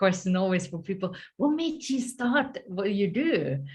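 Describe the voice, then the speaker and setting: A woman with a Finnish accent speaks at a fairly slow pace. Her intonation is lively. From Finland, countryside. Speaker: story coach and author. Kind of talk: interview.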